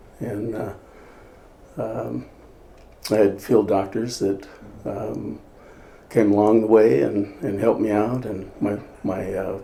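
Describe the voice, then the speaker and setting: A man speaks at a very slow pace in a fairly low pitch, his dark, mellow tone roughened by vocal fry. Long, frequent pauses break up his words, and the room echo is audible. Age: 70s. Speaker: chiropractor. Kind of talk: interview testimony. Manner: halting, many fillers.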